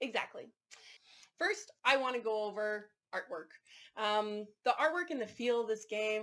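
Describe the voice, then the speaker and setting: A woman with a Canadian accent has a plain, everyday voice. She talks at a moderate pace and a medium pitch. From Canada. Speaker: board game reviewer. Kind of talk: casual review chat.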